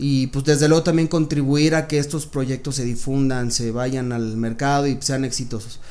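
In an ordinary speaking voice, a man talks at a moderate pace and medium pitch with fairly even intonation and hardly any pauses. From Mexico City. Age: 30s. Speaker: music producer and entrepreneur. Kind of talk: interview. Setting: recording studio.

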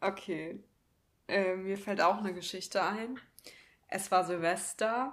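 A woman's very slow, fairly even delivery, broken by long, frequent pauses. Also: medium pitch for a woman. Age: 20s. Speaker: podcast co-host. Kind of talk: casual chat.

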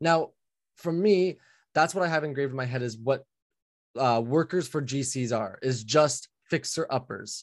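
A man speaks in a normal speaking voice at a moderate pace, with a fairly high pitch and ordinary pitch variation. The background is quiet. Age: 20s. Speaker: general contractor. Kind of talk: coaching session.

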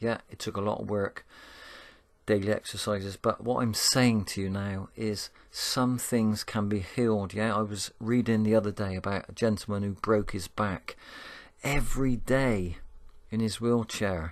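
Here a man speaks with a Bristol accent at a fairly low pitch. The background is quiet. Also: moderate pace. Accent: Bristolian English. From Bristol, England. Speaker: spiritual podcaster. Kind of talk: motivational monologue. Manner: warm, uplifting.

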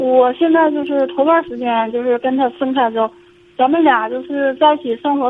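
Noticeable background noise surrounds a woman with a high pitch. She talks at a moderate pace with ordinary pitch variation. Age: 40s. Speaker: caller, divorced mother. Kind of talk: phone-in advice call. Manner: halting, hesitant.

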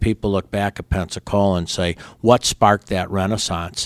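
In a very clean recording with a silent background, a man with an unremarkable speaking voice and fairly low pitch talks at a fairly quick pace, the sound dry and close with no echo. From Chicago suburbs, Illinois. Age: 60s. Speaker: baseball team co-owner. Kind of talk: interview.

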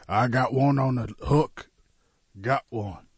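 A man speaks in a fairly low pitch with a creaky vocal fry. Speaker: radio host. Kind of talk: casual banter. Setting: studio.

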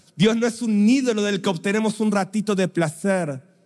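A man with a Rioplatense accent at a moderate pace, with ordinary pitch variation. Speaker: preacher. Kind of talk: sermon. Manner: animated.

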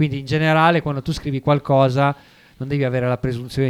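Monotone, flat intonation comes through a dry, close sound with no echo. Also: man. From Savona, Liguria, Italy. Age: 30s. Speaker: rapper. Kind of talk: radio interview. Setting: radio studio. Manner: talkative, reflective.

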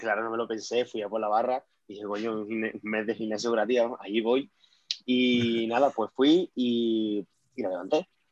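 An unremarkable speaking voice from a man at medium pitch, moderate in pace with fairly even intonation and big swings in loudness, in a dry, close sound with no echo. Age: 20s. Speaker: powerlifter. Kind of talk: interview.

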